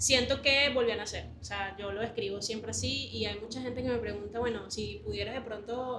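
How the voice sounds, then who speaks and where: Fairly quick speech amid audible room echo and noticeable background noise. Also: woman. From Venezuela. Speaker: leadership coach. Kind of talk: interview. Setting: library.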